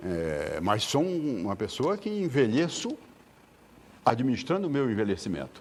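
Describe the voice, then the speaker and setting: Amid noticeable background noise, a man at medium pitch speaks with very wide pitch swings and long, frequent pauses. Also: moderate pace. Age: 70s. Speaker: lawyer and elderly rights advocate. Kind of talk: TV interview. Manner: repetitive stammering starts.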